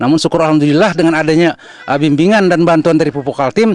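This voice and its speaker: A man's voice, dry and close with no echo, over noticeable background noise. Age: 60s. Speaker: farmer. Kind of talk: interview. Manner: halting.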